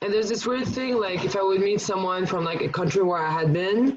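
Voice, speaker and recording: A woman at a medium pitch talks over noticeable background noise. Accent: slight French. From France, Paris. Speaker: podcast guest. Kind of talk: casual chat. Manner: halting, many fillers.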